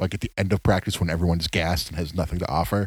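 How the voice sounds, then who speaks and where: Very deep and low in pitch, a man's somewhat breathy voice moves at a very fast pace with fairly even intonation. The recording is very clean and dry, close-sounding with no echo and a silent background. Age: 30s. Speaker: podcast co-host. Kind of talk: casual chat.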